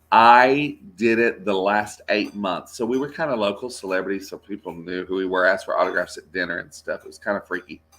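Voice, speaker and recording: At a fairly quick pace with hardly any pauses, a man with a Texas accent speaks at a fairly low pitch, with ordinary pitch variation and big swings in loudness, on a very clean recording with a silent background. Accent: Texas twang. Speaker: voice actor. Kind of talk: interview. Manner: animated.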